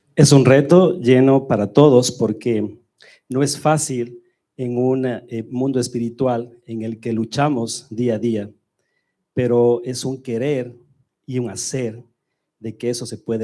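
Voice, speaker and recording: At a moderate pace, a man with a medium-pitched, dark and mellow voice speaks with fairly even intonation. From Ecuador. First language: Spanish. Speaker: church member. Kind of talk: testimony.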